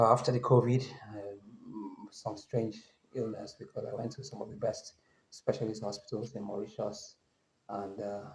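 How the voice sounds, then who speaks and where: Somewhat breathy, a man speaks at a medium pitch and a moderate pace, with fairly even intonation, long, frequent pauses and big swings in loudness. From Nigeria. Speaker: travel vlogger. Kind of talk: casual vlog monologue. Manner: halting, with many fillers and self-corrections.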